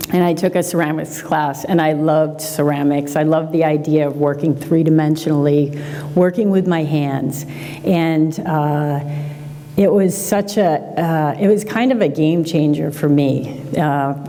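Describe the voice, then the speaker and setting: A woman speaks at a fairly slow pace in a very deep, low pitch with fairly even intonation and very even loudness. Audible room echo and noticeable background noise are present. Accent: American. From Massachusetts, North Shore (Peabody). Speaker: glass artist. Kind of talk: public talk. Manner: hesitant, many fillers.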